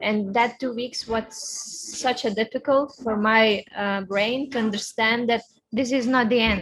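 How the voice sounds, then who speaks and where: Fairly high in pitch, a woman speaks in a Lithuanian accent. Her intonation is fairly even. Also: fairly slow pace. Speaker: racing driver. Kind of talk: interview. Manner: halting.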